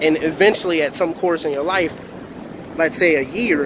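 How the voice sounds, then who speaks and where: An American accent with fairly even intonation over noticeable background noise. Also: man. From Philadelphia, US. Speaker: motivational speaker. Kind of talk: motivational vlog monologue. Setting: outdoors near a parking lot in Miami.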